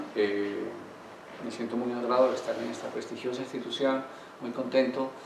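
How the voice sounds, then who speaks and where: In a room with audible echo and noticeable background noise, a man with a Colombian accent talks at a fairly quick pace. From Colombia, Manizales. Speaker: law professor and consultant. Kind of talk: academic lecture. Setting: university lecture hall with audience.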